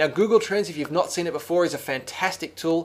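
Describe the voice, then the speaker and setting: The speech comes at a very fast pace with fairly even intonation. It is delivered with an Australian accent. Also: man. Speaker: software trainer. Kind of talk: screencast tutorial. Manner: casual, many fillers and restarts.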